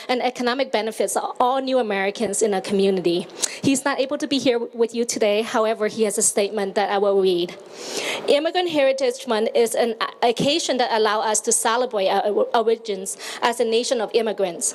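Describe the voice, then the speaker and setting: Over noticeable background noise, a woman talks at a fairly high pitch and a fairly quick pace with ordinary pitch variation. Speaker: county office director for immigrants. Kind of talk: public speech at outdoor event.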